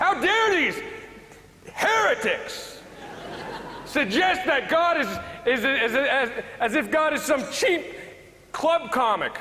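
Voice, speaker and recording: Over noticeable background noise, a man with an American accent speaks in a raised, projected voice at an extremely high pitch, with very wide pitch swings, very even loudness, a very slow pace and long, frequent pauses. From United States. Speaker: stand-up comedian. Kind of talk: comedy debate speech to live audience.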